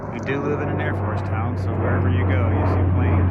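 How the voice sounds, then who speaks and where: A man's very deep, low voice at a fairly quick pace, with audible room echo and noticeable background noise. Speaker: vlogger. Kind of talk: walking tour commentary. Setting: outdoors. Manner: many fillers (um, uh).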